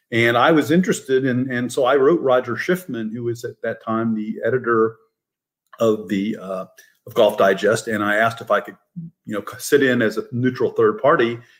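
Over a silent background on a very clean recording, a normal speaking voice moves at a moderate pace with ordinary pitch variation. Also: man. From Fort Wayne, Indiana, US Midwest. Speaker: professor and author. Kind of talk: casual chat.

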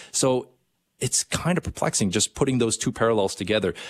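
An ordinary speaking voice moves at a fairly quick pace with ordinary pitch variation, recorded with a dry, close sound with no echo in a quiet background. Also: man. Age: 30s. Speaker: radio host. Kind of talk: casual chat.

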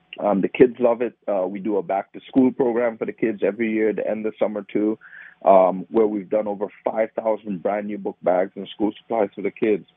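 The delivery is fairly quick in a Trinidadian accent. Intonation stays monotone and flat. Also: man, fairly low pitch for a man. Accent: Trinidadian Caribbean. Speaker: nonprofit founder. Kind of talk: interview.

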